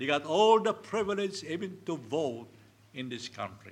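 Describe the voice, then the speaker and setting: With a Filipino accent, a man talks at a fairly slow pace in a fairly high voice, with vocal fry and very wide pitch swings. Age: 70s. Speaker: pastor. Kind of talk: sermon. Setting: church.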